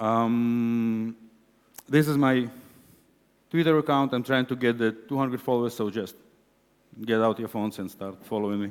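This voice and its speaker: A man with an Israeli accent at medium pitch and a moderate pace, with ordinary pitch variation. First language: Hebrew. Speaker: conference speaker, web developer. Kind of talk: conference talk. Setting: stage with audience.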